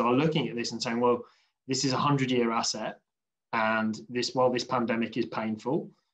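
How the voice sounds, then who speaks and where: This man talks with a British accent. His intonation stays fairly even. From UK. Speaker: infrastructure industry panelist. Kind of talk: panel discussion.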